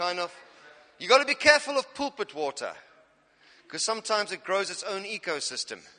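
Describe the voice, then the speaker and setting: Very wide pitch swings in an animated tone at a fairly quick pace. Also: man. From South Africa, Cape Town. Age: 40s. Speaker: pastor. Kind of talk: sermon. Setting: church. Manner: humorous.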